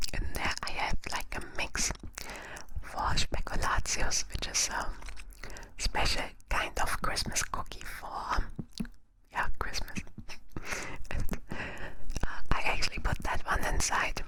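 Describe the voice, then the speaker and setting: A woman's whispering at a very slow pace with long, frequent pauses, over noticeable background noise. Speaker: ASMR creator and virtual YouTuber. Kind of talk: ASMR roleplay, whispered sleep talk. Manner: soft, intimate, close-mic.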